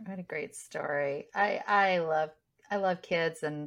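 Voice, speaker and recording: A woman's fairly low-pitched voice, an unremarkable speaking voice with ordinary pitch variation. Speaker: interviewer. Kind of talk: casual interview.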